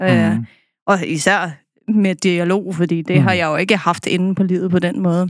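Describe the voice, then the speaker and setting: A woman speaks in a fairly low pitch. Her intonation is fairly even. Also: fairly slow pace. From Copenhagen, Denmark. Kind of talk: casual chat. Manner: halting.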